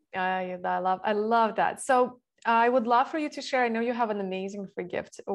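A woman with a plain, everyday voice, a fairly high pitch, ordinary pitch variation, and a fairly quick pace. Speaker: podcast host. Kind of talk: interview.

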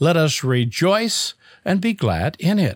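A man's voice comes through somewhat breathy. The sound is dry and close, with no echo. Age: 60s. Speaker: audio producer. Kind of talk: recorded reflection.

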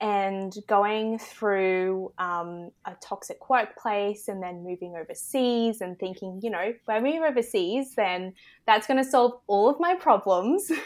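A woman with an Australian accent, medium in pitch, with ordinary pitch variation, a fairly slow pace and hardly any pauses, on a very clean recording with a silent background. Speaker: embodiment and confidence coach. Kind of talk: casual interview chat.

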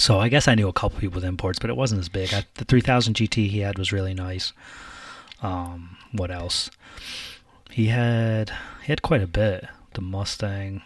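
A man's somewhat breathy, fairly low voice with ordinary pitch variation, a moderate pace and long, frequent pauses. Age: 30s. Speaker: car podcast co-host. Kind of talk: casual chat.

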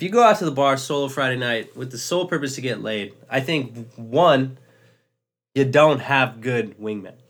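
A man of medium pitch speaks with music in the background. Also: ordinary pitch variation, moderate pace. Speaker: podcast co-host. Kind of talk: casual chat.

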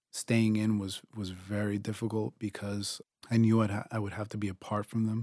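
A man with a Spanish accent speaks at a moderate pace in a fairly low pitch, his dark, mellow tone delivered in a monotone, flat way with a dry, close sound and no echo. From Dominican Republic, raised Long Island New York. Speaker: Marine veteran and writer. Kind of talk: reading aloud.

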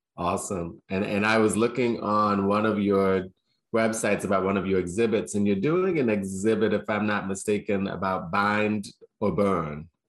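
A plain, everyday voice from a man, fairly low in pitch, with fairly even intonation, a moderate pace and very even loudness on a very clean recording with a silent background. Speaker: school head, interviewer. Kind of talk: interview.

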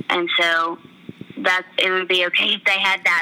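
There is noticeable background noise on this clip. A woman speaks at a moderate pace. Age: 20s. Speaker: country radio DJ. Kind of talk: casual interview.

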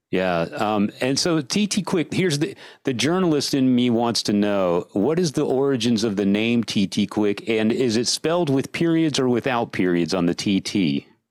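A medium-pitched man speaks at a moderate pace with very wide pitch swings, hardly any pauses and very even loudness. The recording is very clean, with a silent background. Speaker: podcast host. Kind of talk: casual chat. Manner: enthusiastic.

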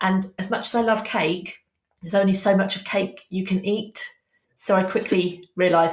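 Somewhat breathy, a woman talks at a fairly quick pace. Her medium-pitched voice keeps a fairly even intonation. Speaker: social media business coach. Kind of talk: casual interview chat.

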